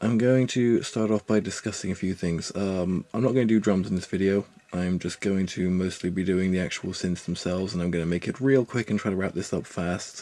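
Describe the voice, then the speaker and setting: Soft-spoken and dark, mellow in tone, the voice moves at a fairly quick pace with hardly any pauses and fairly even intonation. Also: man, very deep, low pitch for a man. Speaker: musician giving music production tutorial. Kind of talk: tutorial. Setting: at home on a laptop. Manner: soft-spoken, talking quietly.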